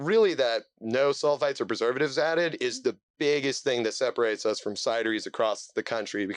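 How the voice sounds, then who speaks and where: Pauses hardly occur at all. Everything moves at a very fast pace. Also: man. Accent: Midwestern American. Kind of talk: conversational, explaining a product.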